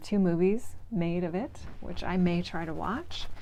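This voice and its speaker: With a northern US accent, a woman speaks in a dark, mellow tone. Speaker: book vlogger. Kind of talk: casual reading vlog. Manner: casual, with filler words.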